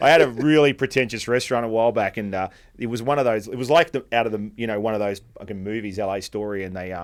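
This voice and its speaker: In an Australian accent, a man talks at a very fast pace with hardly any pauses and ordinary pitch variation, on a very clean recording with a silent background. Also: medium pitch for a man. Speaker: podcast host, restaurateur. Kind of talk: casual chat. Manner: animated.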